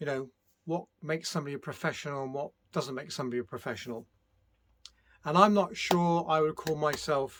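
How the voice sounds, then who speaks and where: A man with a British accent speaks at a fairly high pitch and a fairly quick pace, with ordinary pitch variation and long, frequent pauses, on a very clean recording with a silent background. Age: 60s. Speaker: music producer. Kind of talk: casual vlog monologue. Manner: hesitant, many fillers.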